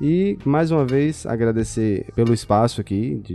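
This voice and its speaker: Music plays in the background as a man speaks. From Bahia, Brazil (Feira de Santana). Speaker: audio and video editor. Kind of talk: casual chat.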